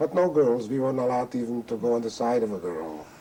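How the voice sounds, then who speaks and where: A man at medium pitch, lively intonation and a moderate pace, with noticeable background noise. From Carpathian Ruthenia, Czechoslovakia. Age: 60s. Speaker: Holocaust survivor. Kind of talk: testimony. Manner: halting.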